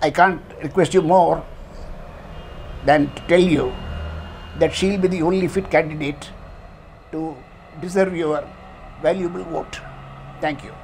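Monotone, flat intonation moves at a moderate pace with long, frequent pauses. Light background noise is audible. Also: man, high pitch for a man. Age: old. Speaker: senior citizen endorsing a candidate. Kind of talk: political endorsement testimonial. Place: home room. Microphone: lapel.

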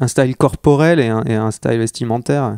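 The man's tone is dark and mellow, and his pitch varies in an ordinary way. He speaks at a moderate pace, with a dry, close sound and no echo. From northern France (Armentières, Nord). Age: young. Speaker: skater and illustrator. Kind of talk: casual interview chat. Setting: home recording.

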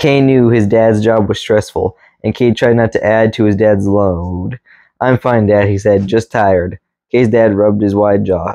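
In a dry sound with no echo and a quiet background, a man speaks at a moderate pace in a fairly low, dark, mellow voice with monotone, flat intonation. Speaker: reader. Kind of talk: reading aloud from a book. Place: home room. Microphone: camera far.

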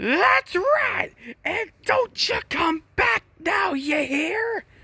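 In a put-on character voice, the speaker goes extremely high in pitch, with very wide pitch swings and a very slow pace.

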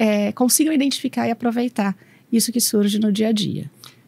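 A woman speaks at a fairly high pitch, somewhat breathy. Her pitch varies in an ordinary way, and the sound is dry with no echo. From Brazil, São Paulo state. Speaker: operations manager at a machinery company; speaker. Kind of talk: talk interview at a university congress. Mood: friendly, calm. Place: studio. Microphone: studio mic.

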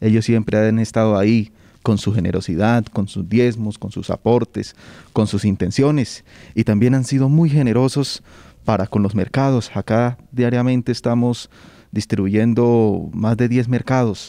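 A man with an ordinary speaking voice, medium in pitch, fairly even in intonation, at a fairly slow pace. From Colombia, Onzaga (Santander). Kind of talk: interview.

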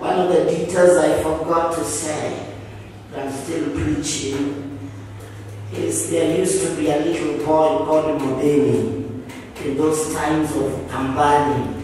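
A man speaks at a fairly slow pace. Strong room echo and light background noise surround his voice. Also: fairly even intonation. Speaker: preacher. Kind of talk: sermon. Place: church.

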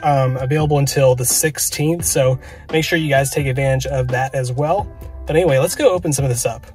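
The delivery moves at a fairly quick pace. Faint music sits in the background of a dry sound with no echo. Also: man, fairly even intonation. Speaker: card collecting vlogger. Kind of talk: casual vlog chat. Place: car. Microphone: phone near.

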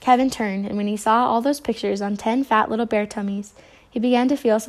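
The voice is an unforced reading voice. It comes across as an unforced reading voice throughout.

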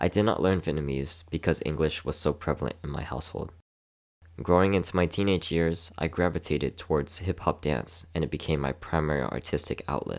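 A man with a very deep, low pitch and vocal fry talks at a fairly quick pace with fairly even intonation, recorded very cleanly against a silent background. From Houston, Texas. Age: 20s. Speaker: dancer and student. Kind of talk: scripted narration.

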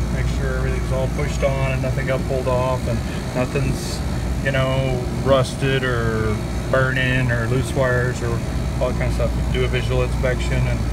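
Loud background noise is present throughout. The speaker talks at a moderate pace. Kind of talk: tutorial. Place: workshop. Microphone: phone near.

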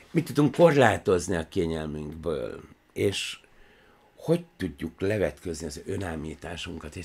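A somewhat breathy male voice at a fairly slow pace, with ordinary pitch variation. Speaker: film analysis show host; show host. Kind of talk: monologue commentary. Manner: animated; tense, almost angry. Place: office. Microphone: studio mic.

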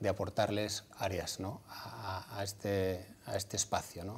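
A man with a fairly low pitch talks at a fairly slow pace. His voice is somewhat breathy. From Basque Country, Vitoria. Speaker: former footballer and clinic entrepreneur. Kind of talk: TV interview. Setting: TV studio. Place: studio. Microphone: lapel.

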